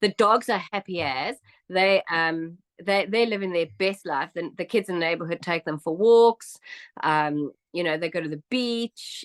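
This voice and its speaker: Speaking in a South African accent, the voice is animated, at a moderate pace with ordinary pitch variation. The sound is dry and close with no echo against a quiet background. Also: woman. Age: 50s. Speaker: immigrant interviewee. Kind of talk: interview.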